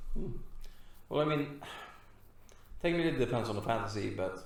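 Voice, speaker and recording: A man's somewhat breathy voice comes through with audible room echo. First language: not English. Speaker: podcast co-host. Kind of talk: casual chat.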